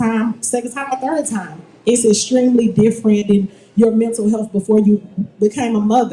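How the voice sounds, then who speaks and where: A woman's fairly high voice with fairly even intonation over noticeable background noise. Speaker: mental health advocate panelist. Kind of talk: panel discussion.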